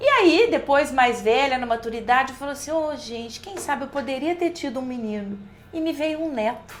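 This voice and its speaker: At a moderate pace, a woman speaks in a high pitch with lively intonation amid noticeable background noise. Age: 60s. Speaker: college professor. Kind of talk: podcast interview.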